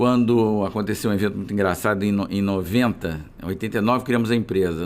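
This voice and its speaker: A man talks at a very fast pace in a fairly low pitch. His intonation stays fairly even. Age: 60s. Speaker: physician and business founder. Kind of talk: interview conversation.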